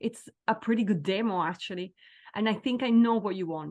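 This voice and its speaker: Energetic and enthusiastic, a woman speaks with a fairly high pitch. Her pace is moderate and her pitch variation ordinary. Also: quiet background. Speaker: singer-songwriter. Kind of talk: interview answer. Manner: energetic, enthusiastic.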